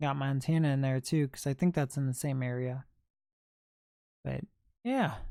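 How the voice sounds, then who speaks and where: Speaking in an American accent at a moderate pace with long, frequent pauses, the voice comes through on a very clean recording with a silent background. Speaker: livestreamer, thrift video creator. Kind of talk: casual livestream chat.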